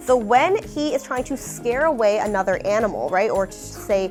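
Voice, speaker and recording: Over music in the background, a woman speaks at a moderate pace. Her pitch is fairly high and her intonation lively. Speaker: animal centre educator. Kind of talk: educational talk to children.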